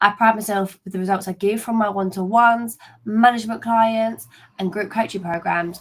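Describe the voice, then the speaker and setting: A woman with a London accent speaks at a fairly quick pace and a medium pitch. Her voice is somewhat breathy and her intonation is monotone and flat. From East London, England. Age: 20s. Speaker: LinkedIn coach. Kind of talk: webinar presentation. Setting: live video stream.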